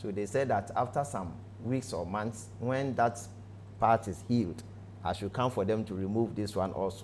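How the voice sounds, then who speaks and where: Light background noise underlies a man's somewhat breathy voice at a fairly low pitch. He speaks at a moderate pace with fairly even intonation. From Ghana, Ashanti region. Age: 40s. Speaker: pastor. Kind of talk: testimony. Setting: studio. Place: studio.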